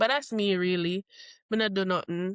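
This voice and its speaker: A woman speaks with a Jamaican accent. Her intonation stays fairly even. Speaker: podcast co-host, military service member. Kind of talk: casual chat.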